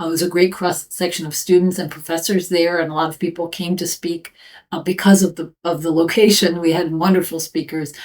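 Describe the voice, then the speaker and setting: With an American accent, a woman of fairly low pitch talks at a fairly quick pace in a monotone, flat intonation. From US. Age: 50s. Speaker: professor. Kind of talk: interview answers. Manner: hesitant with fillers.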